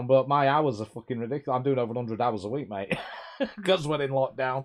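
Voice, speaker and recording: A man at a very fast pace, medium in pitch with ordinary variation, over noticeable background noise. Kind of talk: casual, swears.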